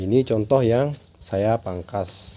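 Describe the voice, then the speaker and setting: Ordinary pitch variation marks the man's speech. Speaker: chili grower, farming vlogger. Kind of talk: tutorial. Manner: casual.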